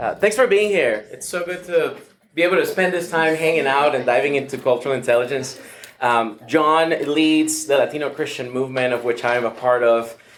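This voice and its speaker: Speaking with a Venezuelan accent, a man moves at a fairly quick pace, his fairly high pitch showing ordinary variation. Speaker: pastor. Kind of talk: workshop talk. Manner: hesitant, many fillers.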